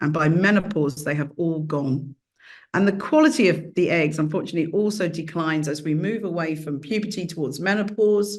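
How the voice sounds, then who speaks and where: A British accent marks this woman's fairly low voice. She talks at a fairly quick pace with ordinary pitch variation. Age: 60s. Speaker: professor. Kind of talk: lecture.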